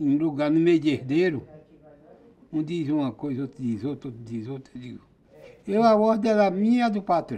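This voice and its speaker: This man speaks at a moderate pace with a dark, mellow tone, a fairly high pitch and lively intonation. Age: 80s+. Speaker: farmer. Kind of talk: casual interview testimony. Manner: halting, with restarts.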